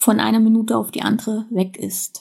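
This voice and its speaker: At a fairly slow pace, a woman speaks with a fairly high pitch. Her tone is dark and mellow, and somewhat breathy. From East Germany, then West Germany from age eight. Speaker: podcast contributor sharing personal story. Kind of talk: personal testimony.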